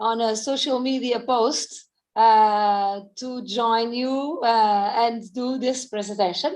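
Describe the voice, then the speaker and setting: There is a quiet background behind a woman speaking with a Portuguese accent. Her pitch is high, with ordinary variation. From Portugal. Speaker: fitness coach. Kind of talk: presentation.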